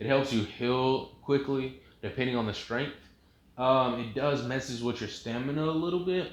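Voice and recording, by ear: Natural-voiced reading aloud with pitch that varies in an ordinary way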